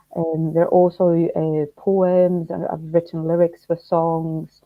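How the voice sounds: Speaking slowly, a woman uses a low pitch. There is little pitch movement in her voice.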